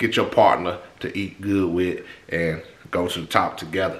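There is audible room echo around the voice. The speaker is a man. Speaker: fitness vlogger. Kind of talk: casual vlog chat. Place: kitchen. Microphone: phone near.

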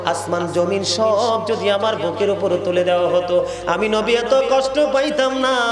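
Clear music plays in the background as a high-pitched man talks with lively intonation. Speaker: Islamic preacher giving a waz lecture. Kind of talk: waz religious sermon to an audience. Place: stage. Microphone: podium.

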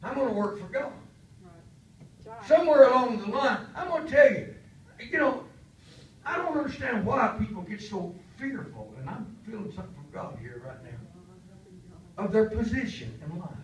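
A man with a high voice speaks in an animated tone, his pitch swinging very widely and his loudness rising and falling sharply, with long, frequent pauses, light background noise and audible room echo. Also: moderate pace. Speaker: pastor; preacher. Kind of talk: sermon. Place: church.

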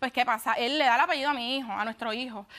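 A woman projects her voice loudly, high in pitch. Her tone is bright and sharp, and her intonation fairly even. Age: 20s. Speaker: litigant on a TV court show. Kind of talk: courtroom testimony. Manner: halting. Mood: upset, insistent. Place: studio.

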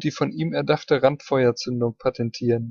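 A man talks at a moderate pace, somewhat breathy, with ordinary pitch variation. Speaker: ammunition history narrator. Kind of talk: technical history narration.

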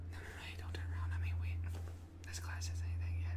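Against loud background noise, a soft-spoken man talks at a very fast pace. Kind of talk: scripted role-play, talks as if to a classmate. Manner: soft hushed talk during class. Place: home room.

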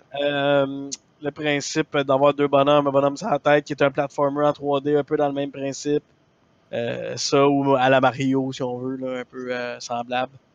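A man speaks at a moderate pace with a fairly high pitch. His intonation is monotone and flat, and the sound is dry and close with no echo. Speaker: gaming streamer. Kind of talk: live stream chat. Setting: live stream. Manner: loud.

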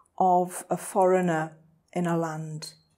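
Against a quiet background, a dark, mellow tone comes through at a very slow pace. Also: woman. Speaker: poet. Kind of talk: poetry reading. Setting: reading room.

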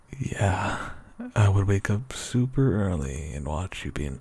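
The speech moves at a very slow pace with vocal fry. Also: man. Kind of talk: ASMR roleplay. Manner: soft-spoken; sleepy.

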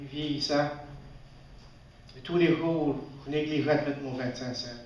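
A man talks at a fairly slow pace in a flat, monotone voice. Light background noise and audible room echo are present. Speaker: storyteller. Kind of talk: live storytelling performance. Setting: live audience, festival stage. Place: stage. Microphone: camera far.

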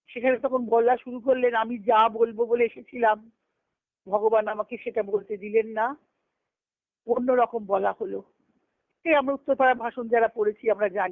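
The speech moves at a moderate pace with fairly even intonation, recorded with a dry, close sound and no echo. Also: woman, fairly high pitch for a woman.

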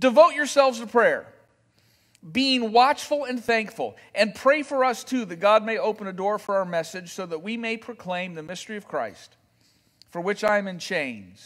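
Against a quiet background, a man speaks at a moderate pace with big swings in loudness. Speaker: pastor. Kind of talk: sermon. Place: church.

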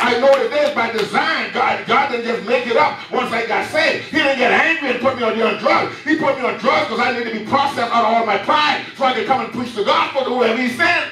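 A man's extremely high, raised, projected voice with ordinary pitch variation, audible room echo and light background noise. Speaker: preacher. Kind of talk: sermon. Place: church.

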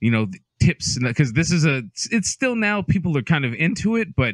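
A man's voice with very wide pitch swings at a moderate pace, a dry sound with no echo and a quiet background. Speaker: podcast co-host. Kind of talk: casual podcast chat. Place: home room. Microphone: studio mic.

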